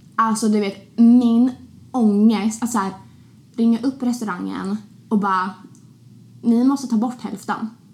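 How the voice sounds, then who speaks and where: At a fairly slow pace, a woman with a fairly high pitch sounds somewhat breathy, keeping a fairly even intonation and taking long, frequent pauses. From Sweden, Linköping (small town). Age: 20s. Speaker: podcast host. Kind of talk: casual chat.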